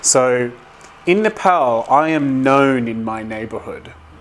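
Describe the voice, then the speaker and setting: Man with an Australian accent and a medium pitch. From Australia, Brisbane, Queensland. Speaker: development organisation director. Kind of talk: interview.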